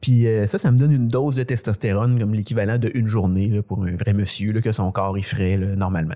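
A man's dark, mellow voice in a Quebec accent, fairly low in pitch, with fairly even intonation. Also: fairly quick pace. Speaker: comedian. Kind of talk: casual chat.

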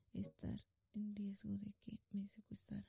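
A woman speaks at a fairly slow pace. The sound is dry and close, without echo. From Mexico, Guanajuato. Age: 30s. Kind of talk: religious testimony.

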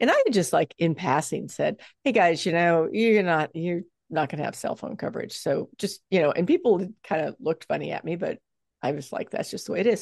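A woman with a plain, everyday voice and lively intonation at a fairly quick pace, dry and close with no echo against a quiet background. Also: fairly low pitch for a woman. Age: 60s. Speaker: fitness coach and author. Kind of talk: casual interview chat.

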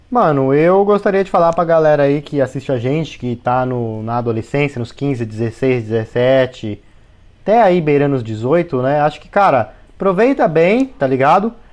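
With a plain, everyday voice, a man speaks at a fairly slow pace in a fairly high pitch, his loudness swinging widely. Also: lively intonation. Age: 20s. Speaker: podcast co-host and YouTuber. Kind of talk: casual chat.

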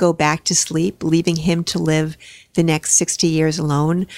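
Speaking in a normal speaking voice, a woman talks at a moderate pace and fairly low pitch, with a dry, close sound and no echo. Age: 60s. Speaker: retired high school drama and English teacher. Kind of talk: casual interview conversation.

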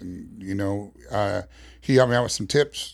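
A man with a plain, everyday voice and an American accent talks at a moderate pace with fairly even intonation, in a very clean recording with a silent background. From New York City, Queens. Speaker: barbecue pitmaster. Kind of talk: casual interview.

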